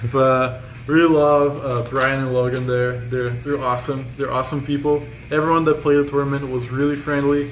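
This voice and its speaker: A man with a non-native accent speaks at a moderate pace in a fairly high pitch, his intonation monotone and flat, with audible room echo and noticeable background noise. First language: not English. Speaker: card game player. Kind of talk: casual deck profile chat.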